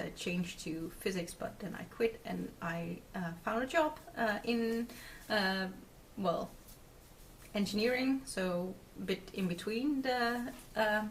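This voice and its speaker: Here a woman talks at a very slow pace with a Dutch accent. Her pitch is medium and shows ordinary pitch variation. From Netherlands. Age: 20s. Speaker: craft video podcaster. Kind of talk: casual video podcast chat. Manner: hesitant, many fillers.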